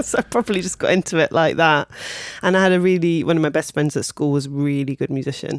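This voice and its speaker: In a southern English accent, the speaker goes at a very fast pace with ordinary pitch variation. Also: woman, very deep, low pitch for a woman. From Kent, southeast England. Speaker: singer, pianist and vocal coach. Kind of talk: casual interview.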